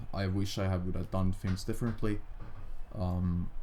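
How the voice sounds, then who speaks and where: A man with a Finnish accent talks in a very deep, low pitch with a dark, mellow tone. His intonation is monotone and flat, and the room echo is audible. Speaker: gaming youtuber. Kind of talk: casual gameplay commentary. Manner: halting, stammering.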